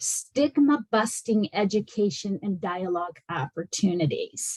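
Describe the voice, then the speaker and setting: Breathing somewhat audibly, a woman at a medium pitch speaks at a very slow pace with very wide pitch swings. The sound is dry and close with no echo. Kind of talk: presentation in online meeting.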